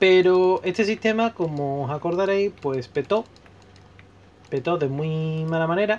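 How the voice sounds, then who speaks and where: Speaking fairly slowly, a man with a high pitch uses ordinary pitch variation. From Spain, Seville. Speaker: gaming YouTuber. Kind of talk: casual vlog commentary while playing.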